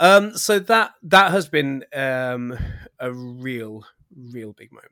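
Very slowly, a man at a medium pitch speaks in a bright, sharp tone, with very wide pitch swings and big swings in loudness. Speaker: podcast host. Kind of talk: casual chat. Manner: excitable.

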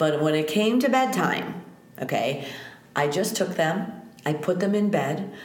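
A woman with an American accent speaks at a medium pitch and a fairly slow pace, her intonation lively and her loudness very even, with long, frequent pauses, audible room echo and noticeable background noise. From US Midwest (North Shore, Chicago). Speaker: yoga teacher. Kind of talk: casual interview chat.

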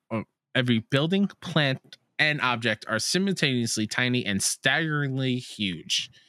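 A man's bright, sharp voice with a fairly high pitch, dry and close with no echo, in a very clean recording with a silent background. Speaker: podcast co-host. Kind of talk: casual chat.

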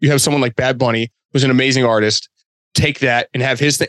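In an American accent, a normal speaking voice with fairly even intonation comes through with a dry, close sound and no echo. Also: man. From Boston. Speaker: sneaker and apparel designer. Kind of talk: casual chat.

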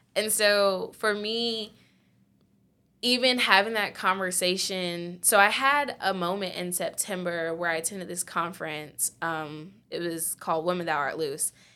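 In a very clean recording with a silent background, a woman with an American accent speaks in a bright, sharp tone with ordinary pitch variation. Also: medium pitch for a woman, fairly slow pace. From Virginia, Chesapeake (Hampton Roads). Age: 20s. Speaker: entrepreneur with marine biology background. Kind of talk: interview storytelling.

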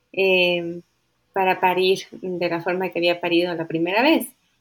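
A woman speaks at a medium pitch and a moderate pace. It is an ordinary speaking voice. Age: 30s. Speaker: birth-rights advocate. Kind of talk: interview.

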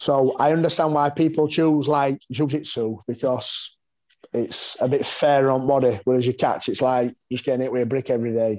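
Speaking with a Yorkshire accent, this man has a medium pitch. His intonation stays fairly even. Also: moderate pace. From West Yorkshire, northern England (mining village near Pontefract). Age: 40s. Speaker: martial artist and fighter. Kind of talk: casual interview chat.

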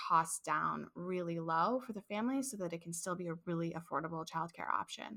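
A woman's bright, sharp, fairly low voice in an American accent, at a fairly quick pace with ordinary pitch variation. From St. Louis, Missouri. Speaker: childcare business owner. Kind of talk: casual interview.

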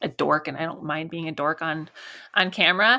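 With vocal fry, a woman speaks at a moderate pace on a very clean recording with a silent background. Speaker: SEO consultant and podcast host. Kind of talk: interview. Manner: animated.

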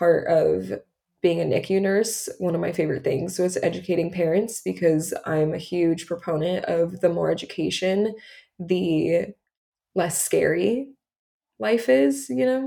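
A woman with a fairly low pitch and a dark, mellow tone talks at a fairly slow pace, with lively intonation and vocal fry. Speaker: podcast host, parent of a child with type 1 diabetes. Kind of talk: casual chat.

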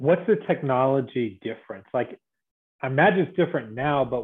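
Speaking at a moderate pace, a man uses a normal speaking voice at medium pitch. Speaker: podcast host. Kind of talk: casual interview conversation. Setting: video call.

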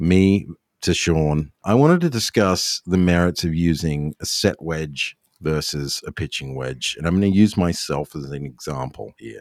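With an Australian accent, a man speaks at a moderate pace in a very deep, low pitch and lively intonation, on a very clean recording with a silent background. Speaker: golf podcast host and club builder. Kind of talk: casual chat; sponsor read.

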